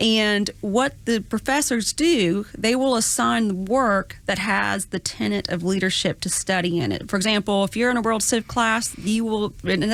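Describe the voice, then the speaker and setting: In a very clean recording with a silent background, a woman with a Southern US accent talks at a moderate pace, her medium pitch showing ordinary variation. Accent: Southern twang. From US South, Georgia (Gwinnett). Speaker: college administrator. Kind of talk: podcast interview. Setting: studio.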